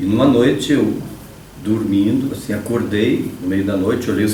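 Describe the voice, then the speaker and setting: Man with a fairly low pitch and ordinary pitch variation, amid noticeable background noise and audible room echo. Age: 60s. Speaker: electrical engineering professor. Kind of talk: interview.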